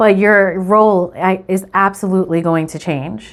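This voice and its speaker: A woman speaks at a fairly slow pace with a New York accent. Her pitch is medium. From New York City, the Bronx. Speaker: tarot reader. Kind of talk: tarot reading video. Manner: casual, filler-heavy with frequent ums.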